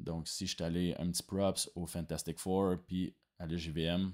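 A man with a Quebec accent speaks at a very slow pace. His pitch is very deep and low, and the background is quiet. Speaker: video game design student. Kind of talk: project presentation. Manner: hesitant, many fillers. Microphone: webcam.

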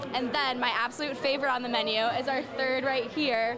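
A woman speaks with crowd noise in the background. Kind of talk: interview answer. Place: cafe. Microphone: handheld.

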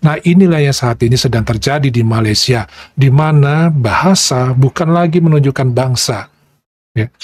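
A man speaks with an Indonesian accent at a moderate pace, somewhat breathy, with ordinary pitch variation. The sound is dry, with no echo. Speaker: reaction video host; reaction channel host. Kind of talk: video commentary. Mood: calm, explanatory. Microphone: lapel.

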